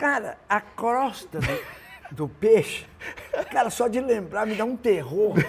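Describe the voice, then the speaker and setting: A man speaks very slowly in a high voice. His pitch swings very widely over noticeable background noise. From Brazil, northern Minas Gerais (Montes Claros). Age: 70s. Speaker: singer-songwriter. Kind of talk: interview, casual chat. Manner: halting, many restarts.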